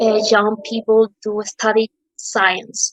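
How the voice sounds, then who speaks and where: Fairly high in pitch, a woman speaks with a Spanish accent. The sound is dry and close, with no echo. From Peru. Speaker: physics student. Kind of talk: prepared question. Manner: halting.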